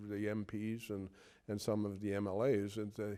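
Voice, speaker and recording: Speaking at a fairly slow pace with a Newfoundland accent, a man has a fairly low pitch and a dark, mellow tone. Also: very clean recording, silent background. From Newfoundland, Conception Bay South. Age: 60s. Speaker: retired police officer. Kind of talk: interview reminiscence. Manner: halting, many repetitions and fillers.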